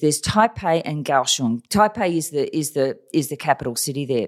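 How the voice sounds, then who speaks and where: A woman speaks at a moderate pace with an Australian accent. Her pitch swings very widely on a very clean recording with a silent background. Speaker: China strategy consultant and author. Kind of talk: casual interview, storytelling.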